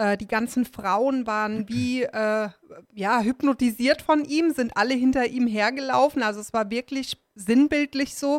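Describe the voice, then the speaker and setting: A woman with a high pitch and ordinary pitch variation speaks at a fairly slow pace, with a dry, close sound with no echo. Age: 30s. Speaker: survivor of domestic abuse. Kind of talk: interview about personal experience. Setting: studio.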